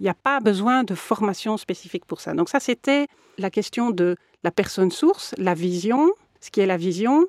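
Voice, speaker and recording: A woman speaks at a medium pitch in a normal speaking voice, recorded dry and close with no echo. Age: 50s. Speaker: mediator and lawyer. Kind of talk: interview.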